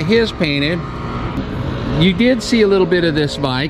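Music in the background behind a man's moderately paced speech, its pitch varying in an ordinary way. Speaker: motorcycle vlogger. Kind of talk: casual vlog chat. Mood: cheerful, laughing. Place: street. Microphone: phone near.

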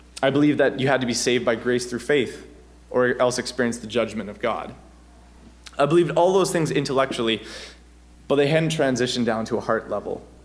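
A man at a medium pitch and a very fast pace, with long, frequent pauses, ordinary pitch variation and audible room echo. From Ontario. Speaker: campus missionary. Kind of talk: sermon. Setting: church.

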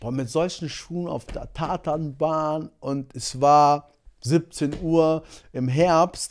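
Fairly high in pitch for a man, his voice keeps a fairly even intonation at a very slow pace. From Germany, Monheim (Rhineland); born in Angola; Germany. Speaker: sprinter; podcast guest. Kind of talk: casual chat. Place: studio. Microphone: studio mic.

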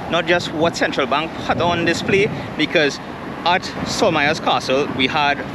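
At a moderate pace, a man talks in a dry sound with no echo while noticeable background noise plays. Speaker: travel vlogger. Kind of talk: casual vlog chat. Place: open country. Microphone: phone near.

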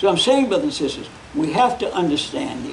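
A man's voice rises and falls in very wide pitch swings. Light background noise runs underneath. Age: 80s+. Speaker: preacher. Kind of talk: Bible class teaching. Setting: church. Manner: folksy. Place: church. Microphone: podium.

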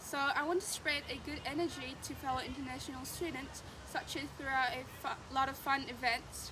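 With hardly any pauses, a woman speaks at a moderate pace in a high pitch and fairly even intonation over noticeable background noise. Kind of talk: prepared self-introduction. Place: open country. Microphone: camera far.

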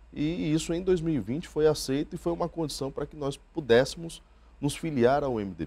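The tone is dark and mellow, with big swings in loudness. Pace is moderate and pitch varies in an ordinary way. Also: man, fairly high pitch for a man. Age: 30s. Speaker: politician. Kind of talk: interview. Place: studio. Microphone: lapel.

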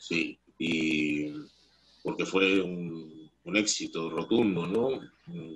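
Speaking at a very slow pace, the man has a very deep, low voice with ordinary pitch variation. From Peru. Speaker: actor. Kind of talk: casual chat. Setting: video call. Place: home room. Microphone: video call.

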